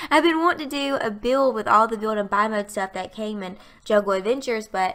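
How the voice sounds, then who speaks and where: Fairly quick, bright, sharp speech from a woman with a fairly high pitch, in a strong Southern US accent, with ordinary pitch variation. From US South, Alabama. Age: 20s. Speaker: gaming youtuber. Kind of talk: voiceover commentary. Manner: casual, chatty.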